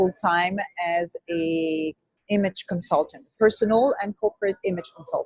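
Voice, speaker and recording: A woman speaks with a French accent at a fairly slow pace. Her intonation is fairly even, and the sound is dry and close with no echo. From France, Brittany. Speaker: image consultant. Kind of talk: interview.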